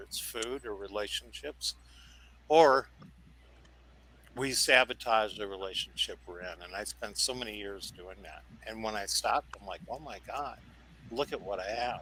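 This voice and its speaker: His loudness swings widely, and his tone is bright and sharp. The man speaks at a moderate pace, medium in pitch, with ordinary pitch variation. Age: 70s. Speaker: panel guest in addiction recovery. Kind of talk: panel discussion.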